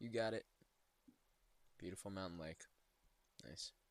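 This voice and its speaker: A quiet man at a moderate pace with ordinary pitch variation. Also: long, frequent pauses. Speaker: travel video creator. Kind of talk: casual screen-share commentary. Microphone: poor audio, close to mic.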